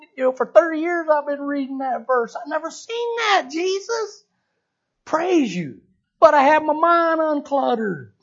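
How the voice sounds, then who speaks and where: A man speaks at a fairly slow pace with a Southern US accent and an extremely high pitch. His intonation is lively, and his loudness swings widely. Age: 60s. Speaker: church elder. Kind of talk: sermon. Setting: church.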